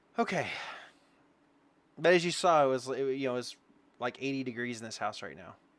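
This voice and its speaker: With a Southern US accent, a man at medium pitch talks at a fairly quick pace, with ordinary pitch variation, big swings in loudness and long, frequent pauses. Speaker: game streamer. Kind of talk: casual chat. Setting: home, live stream. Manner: casual, halting with fillers.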